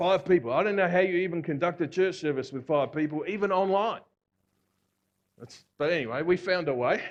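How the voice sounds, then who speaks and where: This man speaks in an Australian accent with a high pitch, an animated tone, ordinary pitch variation and a fairly quick pace. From Australia (Victoria). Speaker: visiting preacher. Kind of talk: sermon. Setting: church. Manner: animated, conversational.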